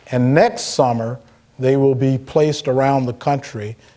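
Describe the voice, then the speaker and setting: Against noticeable background noise, a man of medium pitch speaks with an American accent. His pace is moderate and his intonation fairly even. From Philadelphia, Pennsylvania. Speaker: hospital executive. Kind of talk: public conversation.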